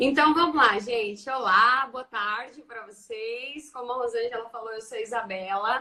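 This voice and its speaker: A woman with a rural Brazilian accent talks at a moderate pace and a fairly high pitch, with ordinary pitch variation and big swings in loudness. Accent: Brazilian countryside accent, kept. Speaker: teacher and education researcher. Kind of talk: casual online talk.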